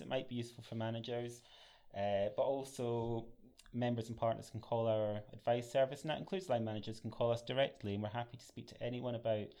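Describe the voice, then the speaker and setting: A dark, mellow voice in a Scottish accent at a fairly quick pace. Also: man. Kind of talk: professional, conversational.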